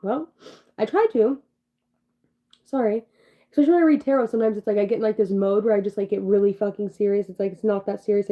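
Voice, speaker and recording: A woman speaks at a fairly high pitch and a very fast pace. Her speech has long, frequent pauses. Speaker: tarot reader, livestreamer. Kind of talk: casual, profane. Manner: monotone; serious, low-energy delivery.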